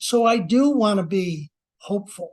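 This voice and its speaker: A man speaks in a high voice with lively intonation and an animated tone. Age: 70s. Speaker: speaker, sales coach and author. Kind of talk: podcast interview.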